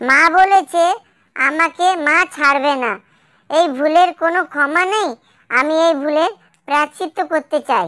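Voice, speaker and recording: A cartoonish character voice, high-pitched and fairly slow, on a very clean recording with a silent background. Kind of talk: cartoon comedy voice. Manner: excitable, chatty.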